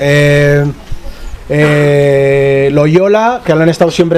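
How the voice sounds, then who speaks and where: With noticeable background noise behind him, a man talks at a fairly high pitch. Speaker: journalist and researcher. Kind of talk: panel discussion. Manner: fast.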